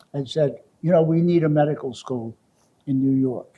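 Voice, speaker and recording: This man has a fairly high pitch and a dark, mellow tone, somewhat breathy, with fairly even intonation. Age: 90s. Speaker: medical school founder and former professor. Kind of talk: interview reminiscence. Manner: halting, with false starts.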